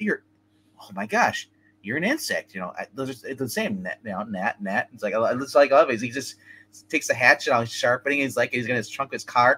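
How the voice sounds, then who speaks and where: There are big swings in loudness as a man talks. His pace is fairly quick. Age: 40s. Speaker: movie show co-host. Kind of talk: casual chat. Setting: remote line. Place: home room. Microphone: webcam.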